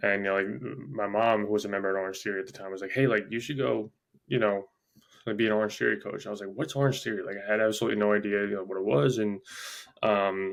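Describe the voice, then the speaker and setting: Pitch variation here is ordinary. It comes from a man whose voice sits fairly low. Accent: New York. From Long Island, New York. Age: 20s. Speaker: gym owner and fitness coach. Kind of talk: casual interview chat. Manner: halting, many fillers.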